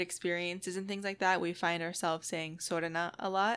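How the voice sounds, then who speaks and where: With an American accent, a woman speaks at a medium pitch with fairly even intonation and a bright, sharp tone on a very clean recording with a silent background. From US, military family moving around. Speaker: podcast co-host. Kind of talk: casual chat.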